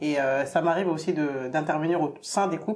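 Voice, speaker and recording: Speaking at a fairly quick pace, a woman with a very deep, low pitch keeps her intonation fairly even. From Gambian Soninke heritage. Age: 30s. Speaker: marriage counsellor. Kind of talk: interview.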